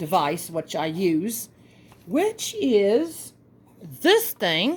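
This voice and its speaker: A woman speaks with a Southern US accent. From US South. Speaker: craft tutorial host. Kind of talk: tutorial. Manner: casual, chatty.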